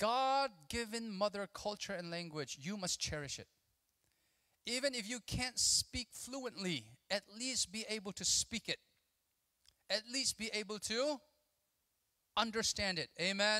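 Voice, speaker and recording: A man speaks in a raised, projected voice with a bright, sharp tone and high pitch, very slowly, with long, frequent pauses. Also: ordinary pitch variation, quiet background. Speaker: conference speaker. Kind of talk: sermon. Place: hall. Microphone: handheld.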